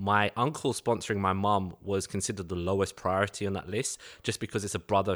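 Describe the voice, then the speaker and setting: Very clean and silent in the background, the recording has a man with a London accent talking fairly quickly in a monotone, flat voice. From East London, England. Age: 30s.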